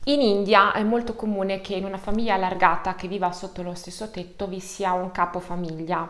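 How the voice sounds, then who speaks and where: A woman's voice moves at a moderate pace, her pitch varying in an ordinary way. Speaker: online true crime storyteller. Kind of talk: true-crime narration, collaborative video. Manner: measured, suspenseful storytelling, explanatory. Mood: calm serious narration. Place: home room.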